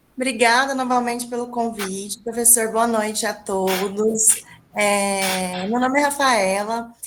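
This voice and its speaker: Fairly slow and fairly high in pitch, a woman's voice holds fairly even intonation. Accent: Minas Gerais. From small town in interior of Minas Gerais, Brazil. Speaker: English teacher and researcher. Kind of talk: academic presentation.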